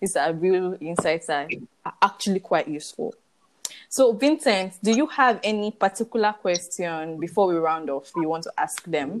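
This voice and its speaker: A woman talks at a moderate pace with lively intonation. It is an ordinary speaking voice. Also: medium pitch for a woman. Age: 20s. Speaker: podcast host. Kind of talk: moderated interview.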